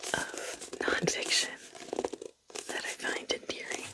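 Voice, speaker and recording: The voice is a whisper delivered at a very slow pace. Background noise is noticeable. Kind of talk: ASMR book rambling. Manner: soft-spoken.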